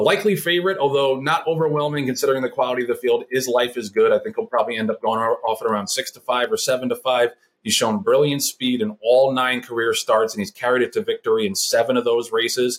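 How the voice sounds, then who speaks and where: A man with an American accent talks at a very fast pace, with hardly any pauses. His pitch is medium and his intonation is lively. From New York City (Brooklyn). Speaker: podcast host, horse racing handicapper. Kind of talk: scripted handicapping segment; casual interview chat.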